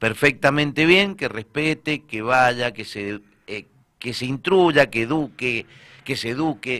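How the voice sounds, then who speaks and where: With an Argentine accent, a man at medium pitch speaks very slowly in a bright, sharp tone, his loudness swinging widely while his pitch varies in an ordinary way. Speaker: radio co-host. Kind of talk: radio panel discussion.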